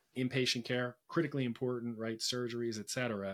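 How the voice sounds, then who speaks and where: At a fairly quick pace, a man with an ordinary speaking voice talks at a medium pitch. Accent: American. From Philadelphia, US. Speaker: healthcare company executive. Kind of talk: interview. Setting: remote call. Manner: many filler words.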